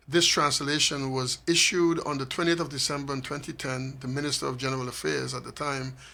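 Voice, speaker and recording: Fairly quick and with hardly any pauses, a man with a St. Maarten accent speaks in a bright, sharp, fairly high voice with monotone, flat intonation. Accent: Caribbean (St. Maarten). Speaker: author of a constitution translation book. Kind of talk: radio interview.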